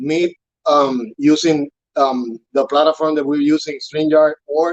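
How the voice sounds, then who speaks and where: In a Spanish accent, a man with a fairly high pitch speaks at a fairly slow pace with fairly even intonation, the sound dry and close with no echo. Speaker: urban farm staff trainer. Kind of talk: interview on live broadcast. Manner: halting, many fillers and repetitions.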